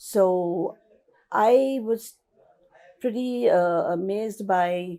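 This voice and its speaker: Very slow and marked by long, frequent pauses, a woman speaks at a medium pitch in a dark, mellow tone with ordinary pitch variation. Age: 60s. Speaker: patient giving testimonial. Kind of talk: testimony. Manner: halting, many fillers.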